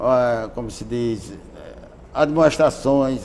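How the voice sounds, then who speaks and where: A man speaks with audible room echo. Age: 80s+. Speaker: former state deputy and trade unionist. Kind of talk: interview testimony.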